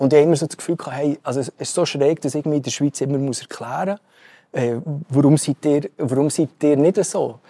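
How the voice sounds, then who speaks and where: In a Swiss accent, a man talks at a fairly quick pace with a fairly high pitch and ordinary pitch variation. His tone is dark and mellow, and the sound is dry and close with no echo. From Switzerland. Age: young. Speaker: tech company CEO. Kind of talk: interview. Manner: halting, many fillers.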